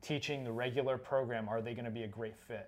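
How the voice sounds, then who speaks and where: A man with an American accent speaks in a normal speaking voice. His pitch sits in the medium range and his intonation stays fairly even. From Florida. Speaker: parkour coach and podcast co-host. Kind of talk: casual chat.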